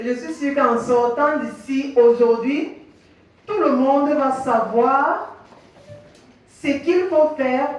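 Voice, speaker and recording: A woman speaks very slowly in a high voice with ordinary pitch variation, amid noticeable background noise and audible room echo. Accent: non-native. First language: English (speaking French). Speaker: physiotherapist. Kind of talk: workshop presentation. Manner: halting.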